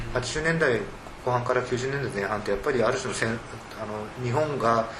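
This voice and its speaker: Over music in the background, a man speaks at a fairly quick pace with ordinary pitch variation and audible room echo. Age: 40s. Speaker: literary critic. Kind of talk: panel discussion.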